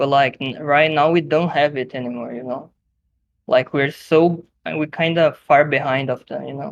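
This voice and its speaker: A Brazilian Portuguese accent at a moderate pace. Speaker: podcast guest, online gaming group member. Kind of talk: casual chat. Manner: halting, many fillers and restarts.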